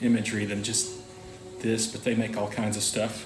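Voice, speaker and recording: A man in a relaxed tone talks at a fairly quick pace, with audible room echo and music in the background. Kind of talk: casual vlog monologue. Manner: relaxed, filler-heavy.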